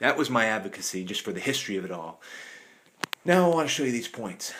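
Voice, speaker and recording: A man with a medium-pitched voice talks at a very fast pace, his pitch swinging very widely. Noticeable background noise runs underneath. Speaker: artifact collector. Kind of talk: show-and-tell video. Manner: animated.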